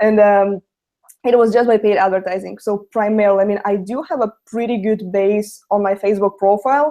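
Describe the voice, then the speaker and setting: A woman speaks with a Russian accent at a fairly quick pace and medium pitch. Her tone is dark and mellow, with fairly even intonation. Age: young. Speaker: network marketer. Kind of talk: webinar testimony.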